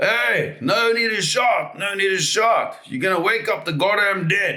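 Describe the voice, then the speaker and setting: Using a gruff, put-on character voice pitched high, a man speaks at a moderate pace with audible echo. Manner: gruff, irritated.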